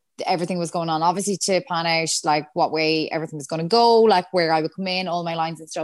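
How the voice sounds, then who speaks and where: A fairly low-pitched woman's voice in a western Irish accent at a very fast pace. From Ireland, Galway. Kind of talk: casual chat.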